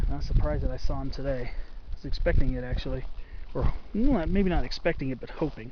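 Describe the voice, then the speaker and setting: A man talks at a very fast pace, with audible echo from the room. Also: big swings in loudness. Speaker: hiking vlogger. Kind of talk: solo outdoor vlog narration. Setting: outdoors on a mountain hike. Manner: speaking quietly.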